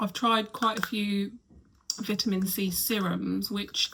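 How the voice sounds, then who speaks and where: A woman's medium-pitched voice at a fairly slow pace, with noticeable background noise. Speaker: lifestyle vlogger. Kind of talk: casual vlog chat. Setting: bedroom at home. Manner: quiet, soft-spoken.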